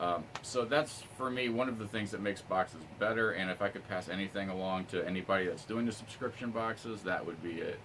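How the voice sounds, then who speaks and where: A man with a fairly low pitch speaks at a fairly quick pace. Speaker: YouTube unboxing reviewer. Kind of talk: casual vlog review. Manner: fast.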